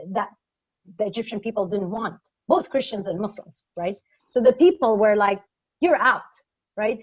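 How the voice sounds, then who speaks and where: Somewhat breathy and fairly high in pitch, a woman talks at a moderate pace, pausing long and often. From Middle East. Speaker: government advisor. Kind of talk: Q&A panel answer. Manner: hesitant, many fillers and repetitions.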